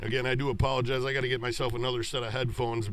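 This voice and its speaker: There is noticeable background noise and audible room echo. Through it, a man speaks at a medium pitch. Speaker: hockey play-by-play announcer. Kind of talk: live commentary. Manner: loud.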